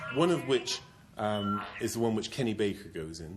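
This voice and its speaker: Over music in the background, a man with a Bristol accent talks at a moderate pace in a medium-pitched voice with lively intonation. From England, Bristol. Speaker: actor, bodybuilder. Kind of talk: interview answer.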